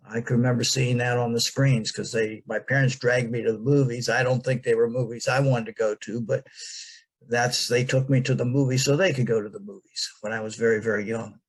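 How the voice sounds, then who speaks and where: With an American accent, the voice is somewhat breathy, moving at a fairly quick pace with fairly even intonation. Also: man, medium pitch for a man. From United States. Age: 70s. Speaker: interviewee recalling his early life. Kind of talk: interview. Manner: halting, many fillers.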